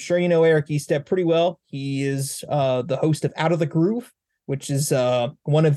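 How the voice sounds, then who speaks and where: A man with an unremarkable speaking voice talks with fairly high pitch, an American accent and fairly even intonation. The sound is dry and close with no echo over a quiet background. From Northwest Indiana. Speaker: podcast host. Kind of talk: casual chat; podcast introduction. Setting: video call.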